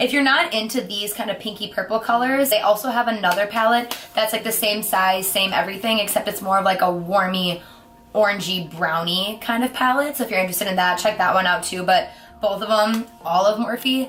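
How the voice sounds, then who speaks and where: With an American accent, a woman speaks at a fairly quick pace and with ordinary pitch variation, amid noticeable background noise. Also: medium pitch for a woman. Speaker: beauty vlogger. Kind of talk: product review. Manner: fast; animated.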